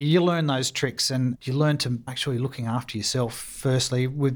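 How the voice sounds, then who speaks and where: A medium-pitched man with an Australian accent at a moderate pace. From Australia, mainly Sydney. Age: 50s. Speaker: war veteran. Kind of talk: interview.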